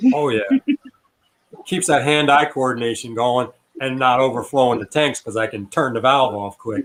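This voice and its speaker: With an American accent and a medium pitch, a man speaks with long, frequent pauses. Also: ordinary pitch variation, moderate pace. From upstate New York. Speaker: aquarium hobbyist and fish breeder. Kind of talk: casual livestream chat. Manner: animated.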